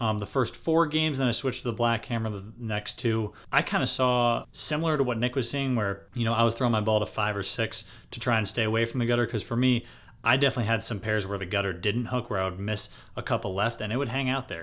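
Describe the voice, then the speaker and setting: A man talks very fast, his pitch varying in an ordinary way. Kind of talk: casual vlog chat. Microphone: phone near.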